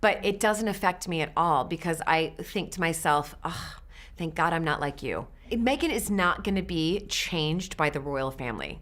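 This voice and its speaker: In an American accent, a woman with a fairly low pitch speaks at a moderate pace with lively intonation. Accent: American, nasal. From USA. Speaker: interviewee. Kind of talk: interview.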